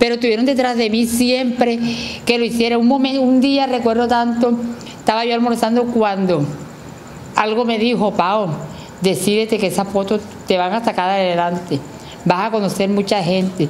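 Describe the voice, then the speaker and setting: At a moderate pace, a woman speaks with ordinary pitch variation, very even loudness, and long, frequent pauses over light background noise. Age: 40s. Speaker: transgender community member interviewed; interviewee. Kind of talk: interview testimony. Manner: halting. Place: studio. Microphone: handheld.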